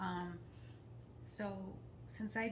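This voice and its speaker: Noticeable background noise runs through the clip. Room echo is also audible. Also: woman. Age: 60s. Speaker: detox enthusiast guest. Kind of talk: casual interview.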